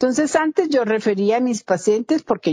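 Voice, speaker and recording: A woman with a dark, mellow tone and lively intonation is heard in a dry, close sound with no echo over a quiet background. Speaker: dermatologist. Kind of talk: interview.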